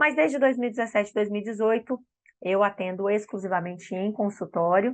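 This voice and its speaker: This woman has an ordinary speaking voice at a medium pitch. She talks at a fairly quick pace with ordinary pitch variation. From Espírito Santo, Brazil. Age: 40s. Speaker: speech therapist and lactation consultant. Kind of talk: online course lecture. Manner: warm, conversational.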